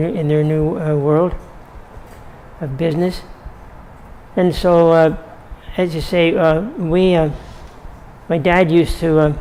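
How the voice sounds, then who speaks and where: In audible room echo, a man with a Canadian accent speaks at a fairly slow pace in a monotone, flat intonation and a fairly high pitch. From Ontario, Canada. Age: 90s. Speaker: elderly local resident. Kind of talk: oral history interview. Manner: halting, many fillers and repetitions.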